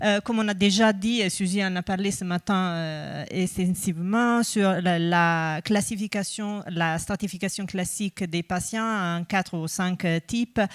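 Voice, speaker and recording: A woman with a slight Italian accent speaks at a fairly slow pace, with medium pitch, fairly even intonation and hardly any pauses. The recording is very clean with a silent background, and the sound is dry and close with no echo. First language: Italian (speaking French). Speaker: researcher. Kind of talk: conference talk. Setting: conference with audience. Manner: hesitant, many fillers.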